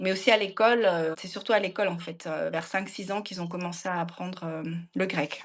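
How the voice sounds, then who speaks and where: A woman's voice at a moderate pace, with hardly any pauses. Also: medium pitch for a woman, fairly even intonation. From France. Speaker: expat parent. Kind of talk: podcast interview. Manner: hesitant, many fillers.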